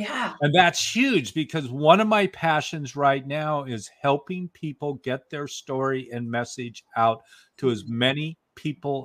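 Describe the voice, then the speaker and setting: In a very clean recording with a silent background, a man with an ordinary speaking voice talks at a fairly slow pace, his pitch fairly high and his intonation lively. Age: 60s. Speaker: author and story coach. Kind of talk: casual chat.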